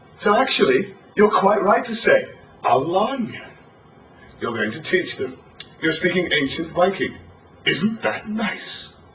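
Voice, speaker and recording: A man talks at a fairly slow pace with very wide pitch swings, over noticeable background noise and audible room echo. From northern England, Sunderland. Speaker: tour guide. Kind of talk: guided tour commentary. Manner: animated.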